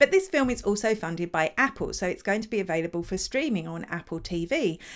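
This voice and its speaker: Very wide pitch swings on a very clean recording with a silent background. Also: woman. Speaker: digital marketing show host. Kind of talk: live news show, casual chat.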